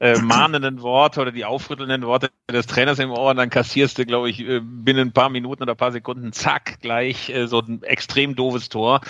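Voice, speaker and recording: With a medium pitch, this man's intonation stays monotone and flat. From Bielefeld, Germany. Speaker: football magazine editor. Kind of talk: casual chat.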